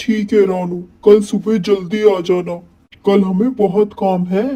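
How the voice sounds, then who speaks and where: A man puts on a cartoonish character voice, high-pitched and monotone, at a moderate pace. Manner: gruff, impatient.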